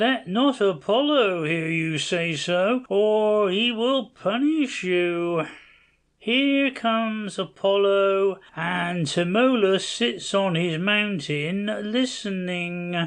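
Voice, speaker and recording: This is a put-on character voice at a middle pitch. It moves at a very slow pace. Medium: audio drama.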